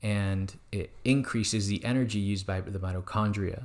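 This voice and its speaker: The recording is very clean with a silent background, carrying a man's plain, everyday voice. He speaks at a fairly slow pace with a fairly low pitch and fairly even intonation. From Mexico, raised in Arizona from age nine. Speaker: wellness business owner. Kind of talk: interview.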